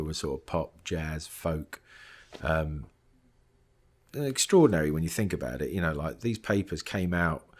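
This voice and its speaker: With a southern English accent, a man speaks at a moderate pace in a very deep, low pitch, recorded very cleanly against a silent background. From England, Luton. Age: 50s. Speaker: film composer. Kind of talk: interview. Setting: composer's studio. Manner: halting, many fillers and restarts.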